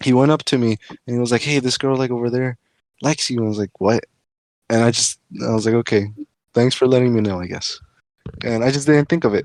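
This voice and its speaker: In a quiet background with dry, close sound and no echo, a man at medium pitch talks at a very fast pace with fairly even intonation and long, frequent pauses. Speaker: podcast guest. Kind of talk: casual chat. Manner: stuttering.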